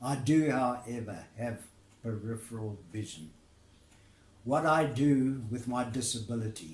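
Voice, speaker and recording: A somewhat breathy man at a fairly slow pace, with audible room echo. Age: 80s+. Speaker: retired labour negotiator. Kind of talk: recorded address to camera. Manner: formal.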